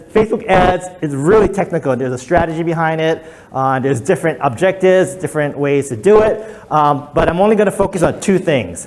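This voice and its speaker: Over noticeable background noise, a man talks at a fairly quick pace with a high pitch and ordinary pitch variation. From Hawaii. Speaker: digital marketing consultant. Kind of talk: presentation to a workshop audience. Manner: fast.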